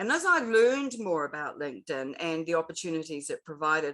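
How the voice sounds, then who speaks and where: In a New Zealand accent, a woman speaks at a fairly quick pace, her bright, sharp tone moving in very wide pitch swings. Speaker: LinkedIn expert and author. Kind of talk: interview.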